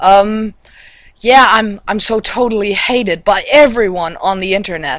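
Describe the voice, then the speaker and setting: A woman at a fairly slow pace, fairly high in pitch, with ordinary pitch variation. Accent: German. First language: German. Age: 40s. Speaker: vlogger. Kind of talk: response video rant.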